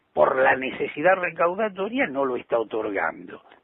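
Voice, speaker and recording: A man talks in a high pitch. His pitch swings are very wide. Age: 60s. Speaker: politician and journalist. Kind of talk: interview.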